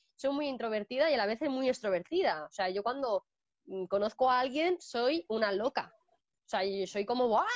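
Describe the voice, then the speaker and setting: A woman's high-pitched voice with lively intonation and big swings in loudness, at a moderate pace, in a dry, close sound with no echo. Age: 20s. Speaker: dog trainer and pet sitter. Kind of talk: casual interview. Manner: halting, many repetitions.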